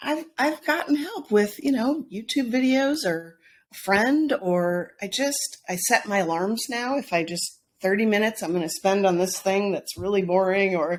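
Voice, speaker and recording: A loud woman's voice of medium pitch at a moderate pace, with very wide pitch swings. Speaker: health and wellness coach. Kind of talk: podcast interview. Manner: animated.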